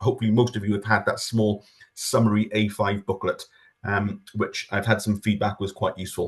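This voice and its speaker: A man's somewhat breathy speech comes through over a quiet background. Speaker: government official presenting farming scheme. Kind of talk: webinar presentation. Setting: online webinar. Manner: fast.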